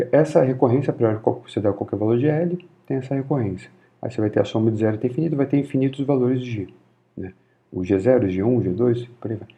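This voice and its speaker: A man's somewhat breathy, medium-pitched voice at a very fast pace with ordinary pitch variation and a slight Carioca accent. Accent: mild Rio de Janeiro (carioca). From Rio de Janeiro, Brazil. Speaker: physics lecturer. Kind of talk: informal university lecture.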